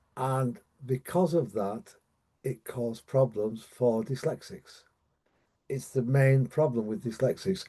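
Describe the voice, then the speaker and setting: This man's voice has a dark, mellow tone, a medium pitch, and ordinary pitch variation. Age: 70s. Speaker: dyslexia coach. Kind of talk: online training presentation. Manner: halting, many fillers and repetitions.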